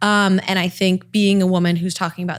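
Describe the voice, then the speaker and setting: A woman is speaking. She has a Southern California accent. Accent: Valley girl. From Los Angeles, California. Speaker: TV and online news host. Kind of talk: podcast interview. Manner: conversational, approachable.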